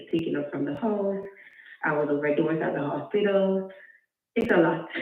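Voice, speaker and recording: A soft-spoken woman at a moderate pace, with ordinary pitch variation and audible room echo. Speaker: caller with a custody case. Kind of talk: call-in question. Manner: halting.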